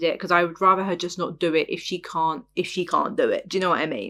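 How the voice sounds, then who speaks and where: Her tone is bright and sharp. The woman's pitch is fairly low. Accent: English. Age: 20s. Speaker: podcast host. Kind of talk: casual monologue review. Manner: animated.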